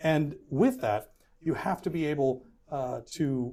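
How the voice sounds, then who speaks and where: This man's voice has a dark, mellow tone and a fairly high pitch. His pitch moves with ordinary variation. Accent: Texan. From Houston, Texas. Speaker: political candidate, firefighters union president. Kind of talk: interview answer.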